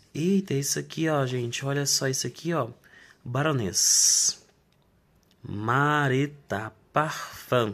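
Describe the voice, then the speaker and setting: Speaking at a very slow pace with long, frequent pauses, a man with a Brazilian accent uses a fairly high pitch and ordinary pitch variation. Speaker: online reseller. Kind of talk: street-seller style sales pitch, unboxing and product showcase. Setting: home video, unboxing to camera. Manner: animated, pitchy, hawking products with a chatty direct-to-camera patter; repeatedly addresses the audience as 'gente' and pushes bargains. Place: home room. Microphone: phone near.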